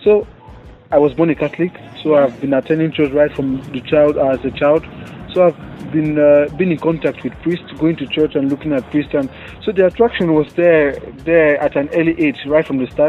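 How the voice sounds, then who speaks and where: A speaker with a Nigerian accent talks with fairly even intonation. Music plays in the background. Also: man, fairly high pitch for a man, moderate pace. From Nigeria, Cross River State. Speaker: seminarian. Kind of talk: interview. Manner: halting.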